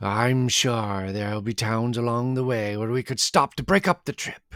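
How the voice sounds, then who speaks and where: A man puts on a character voice at medium pitch and a moderate pace, in a very clean recording with a silent background. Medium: read story. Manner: confident.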